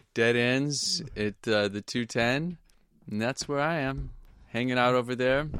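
On a very clean recording with a silent background, a man with an American accent speaks at a fairly slow pace in a medium pitch, using an unremarkable speaking voice with ordinary pitch variation. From Portland, Oregon. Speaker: music teacher. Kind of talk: casual chat.

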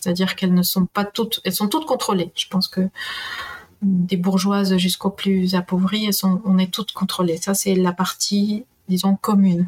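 With a Spanish accent, a woman talks at a moderate pace with fairly even intonation and very even loudness, in a dry, close sound with no echo. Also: medium pitch for a woman. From Peru. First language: Spanish (speaking French). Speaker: historian and university professor. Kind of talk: interview.

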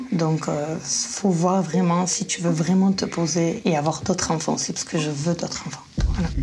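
Her voice sits fairly low in pitch. The woman is heard against noticeable background noise. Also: ordinary pitch variation, moderate pace. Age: 30s. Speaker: dating show contestant. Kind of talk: casual chat. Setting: in a dark room.

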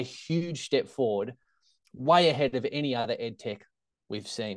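With an Australian accent, a man speaks at a moderate pace against a quiet background. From Australia, Tasmania (Hobart). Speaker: secondary teacher and startup founder. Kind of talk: interview conversation.

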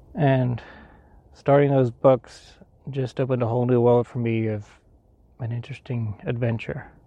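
With a dark, mellow tone and medium pitch, a man talks at a moderate pace with fairly even intonation and long, frequent pauses. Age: 40s. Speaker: podcast host, writer. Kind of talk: solo talk on a hike. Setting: outdoors.

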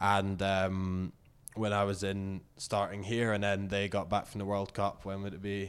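The speaker talks fairly slowly in a Scottish accent, with monotone, flat intonation. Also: man, fairly low pitch for a man. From Scotland, Inverness. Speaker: professional rugby player. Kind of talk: interview. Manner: halting.

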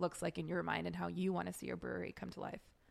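In a very clean recording with a silent background, a woman is speaking. She has a Californian accent. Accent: Californian American English. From Los Angeles, US. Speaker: podcast co-host. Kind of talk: casual chat. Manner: animated.

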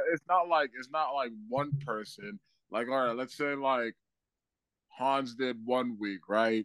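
At a fairly slow pace, a man with an American accent speaks in an unremarkable speaking voice at medium pitch with ordinary pitch variation. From Boston, Massachusetts. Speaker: comedian. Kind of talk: casual chat.

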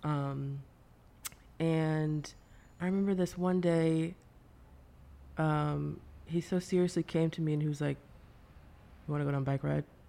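A woman with a Midwestern American accent at a very deep, low pitch, dark and mellow in tone, monotone and flat in intonation, at a fairly slow pace with long, frequent pauses and very even loudness. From US Midwest, suburbs of Cleveland, Ohio. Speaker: artist and musician. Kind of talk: interview conversation. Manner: halting, many fillers and repeated words.

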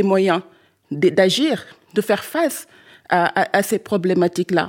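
A woman speaks with a Senegalese accent and lively intonation. The recording is very clean, with a silent background. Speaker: climate activist. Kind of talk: panel discussion. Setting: stage with audience.

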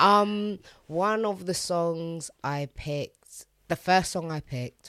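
This woman talks at a very slow pace in a London accent. Her pitch is fairly low. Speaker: DJ and radio presenter. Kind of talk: casual chat.

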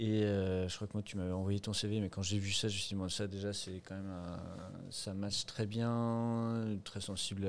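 This man talks in a fairly low register with monotone, flat intonation. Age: 30s. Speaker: shop founder and lawyer. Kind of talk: casual interview.

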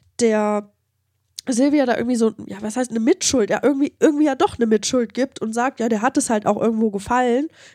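A woman's high-pitched voice has a dark, mellow tone and ordinary pitch variation, with a dry, close sound, no echo, and a very clean recording with a silent background. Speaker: true crime podcast co-host. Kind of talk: casual chat.

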